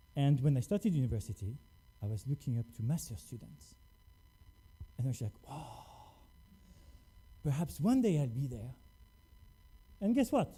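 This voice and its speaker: A man's fairly high, somewhat breathy voice with a dark, mellow tone, at a moderate pace with long, frequent pauses and very wide pitch swings. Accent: French. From France. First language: French. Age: 40s. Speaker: scientist. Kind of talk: lecture.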